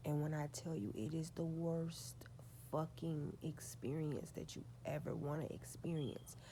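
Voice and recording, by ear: Soft-spoken, this woman has a low pitch. Her pace is fairly slow. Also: ordinary pitch variation.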